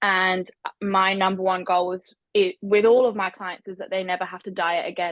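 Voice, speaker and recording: At a moderate pace, a woman speaks at a medium pitch. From Scotland. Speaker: nutritionist and online coach. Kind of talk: podcast interview.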